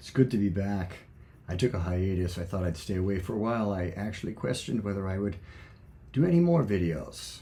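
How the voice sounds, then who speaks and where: A man's very deep, low voice with a dark, mellow, somewhat breathy tone, ordinary pitch variation, a fairly quick pace and audible room echo. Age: 70s. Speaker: former friar and video blogger. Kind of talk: personal reflection monologue. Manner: halting.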